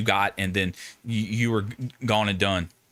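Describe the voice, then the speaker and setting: A man's fairly low-pitched voice in a Southern US accent, bright and sharp in tone, with fairly even intonation on a very clean recording with a silent background. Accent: Southern accent with twang. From US South. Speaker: Marine veteran streamer. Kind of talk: live stream discussion. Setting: live stream. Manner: casual.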